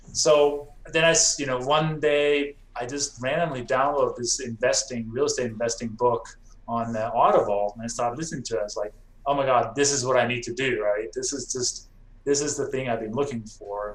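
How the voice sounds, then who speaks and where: Speech moves at a fairly quick pace. It comes with a non-native accent. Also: man. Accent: foreign. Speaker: real estate investor. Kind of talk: podcast interview.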